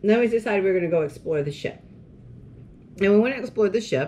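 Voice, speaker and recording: Her intonation is lively as this woman talks. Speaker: co-host. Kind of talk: casual vlog chat. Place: home room. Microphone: camera far.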